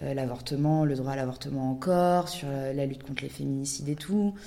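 Over audible room echo, a woman with a very deep, low pitch speaks at a moderate pace with ordinary pitch variation. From Paris, France. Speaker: documentary director and podcaster. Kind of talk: podcast interview.

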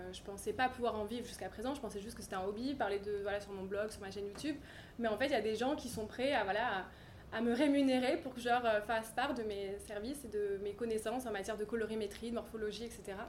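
Audible room echo surrounds a woman talking at a very fast pace in a fairly high pitch with fairly even intonation. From French Riviera, Cannes. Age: 30s. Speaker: fashion stylist and business founder. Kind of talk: interview. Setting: showroom.

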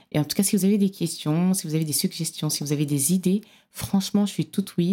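A woman speaks with fairly even intonation and a dark, mellow tone. The recording is very clean, with a silent background. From Cameroon. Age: 30s. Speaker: podcast host. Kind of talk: solo podcast monologue.

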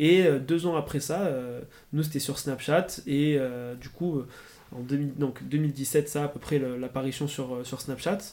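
Very slowly, a man speaks with a fairly high pitch, a dark, mellow tone and fairly even intonation. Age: 20s. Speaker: student entrepreneur. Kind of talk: interview. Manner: hesitant, many fillers.

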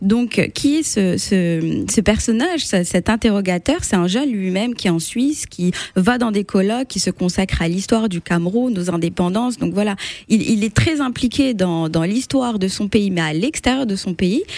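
This woman talks at a medium pitch and a moderate pace, her intonation lively. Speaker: literature blogger. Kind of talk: radio interview. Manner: hesitant.

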